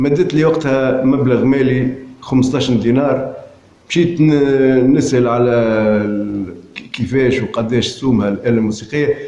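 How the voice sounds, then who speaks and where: Fairly slow pace, ordinary pitch variation and very even loudness, with audible room echo and noticeable background noise. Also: man, medium pitch for a man. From Tunisia, Hammam-Lif area. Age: 60s. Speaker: poet and amateur filmmaker. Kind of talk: autobiographical narration. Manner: halting.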